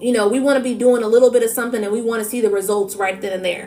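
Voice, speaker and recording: A woman talks at a very fast pace against noticeable background noise. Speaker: tarot reader. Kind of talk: spiritual reading livestream. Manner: animated.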